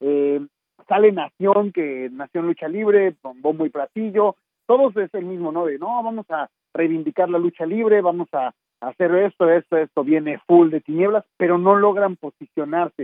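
At a moderate pace, a man speaks with a high pitch. His pitch variation is ordinary. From Mexico City. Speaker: wrestling interview show host. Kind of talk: casual interview.

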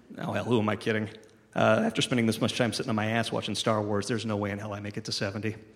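Talking at a very fast pace, a man uses a fairly low pitch and a monotone, flat intonation. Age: 40s. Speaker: cartoonist and film reviewer. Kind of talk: reading aloud.

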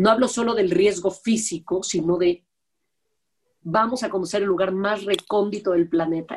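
A woman talks at a medium pitch and a moderate pace with ordinary pitch variation. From Mexico. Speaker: TV producer and host. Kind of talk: interview conversation. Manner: blunt, direct.

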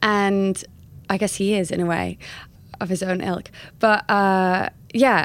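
A woman speaks at a very slow pace with an American accent. The recording is very clean, with a silent background. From California; lived in Bath, West Country England, then London. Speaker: memoir author and travel writer. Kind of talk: casual interview chat.

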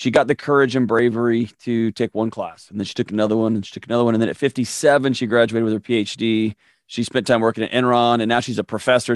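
A man talks at a very fast pace with hardly any pauses. His intonation is monotone and flat, and the sound is dry and close with no echo. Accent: American. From Texas, Houston. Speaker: mental health expert. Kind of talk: casual interview chat.

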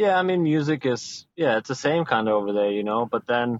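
A man with a German accent and a medium-pitched voice speaks at a fairly quick pace. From Germany. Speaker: professional soccer player. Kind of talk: interview.

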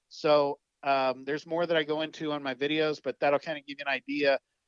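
A man with a fairly high voice talks at a fairly quick pace in a flat, monotone way. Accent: Texan. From South Texas. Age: 50s. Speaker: wildlife photographer. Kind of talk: casual interview.

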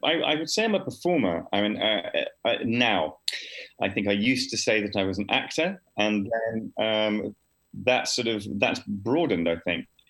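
Speaking at a moderate pace, a man has an unremarkable speaking voice, a medium pitch and lively intonation. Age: 40s. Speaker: actor and improviser. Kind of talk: interview.

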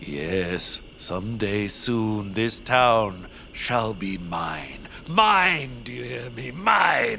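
At a very slow pace, a man puts on a character voice that is fairly low-pitched, bright and sharp in tone, with vocal fry and big pitch swings.

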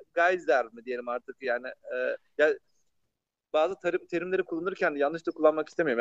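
In an ordinary speaking voice, a man talks fairly quickly at a fairly high pitch with ordinary pitch variation and big swings in loudness, the sound dry and close with no echo. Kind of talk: casual science explainer chat.

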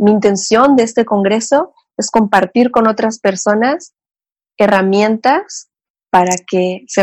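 Here a woman talks in a Mexican accent. Her pace is fairly slow. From Mexico, Cancún. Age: 30s. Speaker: psychotherapist. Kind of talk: interview, personal life story.

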